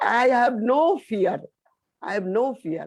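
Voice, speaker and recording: At a very slow pace, a woman with a high pitch speaks in very wide pitch swings. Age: 60s. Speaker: session participant. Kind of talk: personal testimony. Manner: halting.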